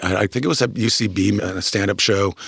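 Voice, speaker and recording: Fairly even intonation marks an unremarkable speaking voice. The pace is fairly quick. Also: man. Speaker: comedy manager. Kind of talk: interview answer.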